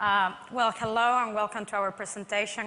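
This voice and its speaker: A bright, sharp tone at a moderate pace with fairly even intonation. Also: woman. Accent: Spanish. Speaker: construction project manager. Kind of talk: conference presentation.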